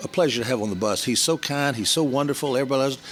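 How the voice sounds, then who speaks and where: The voice carries a Southern US accent. Noticeable background noise runs behind it. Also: man. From US South, Georgia (Columbus/Atlanta). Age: 70s. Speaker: business networker. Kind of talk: interview storytelling.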